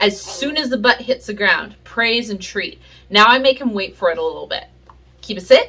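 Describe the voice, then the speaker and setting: Her tone bright and sharp, a woman speaks at a moderate pace. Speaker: pet owner video creator. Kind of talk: tutorial. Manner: casual, hesitant with many fillers.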